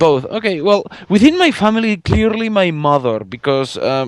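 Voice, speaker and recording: A man with a Spanish accent speaks with lively intonation in a dry, close sound with no echo. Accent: Spanish accent, rolled R's. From Spain. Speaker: fan artist and podcast guest. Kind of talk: casual chat interview. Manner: halting, many fillers and repeats.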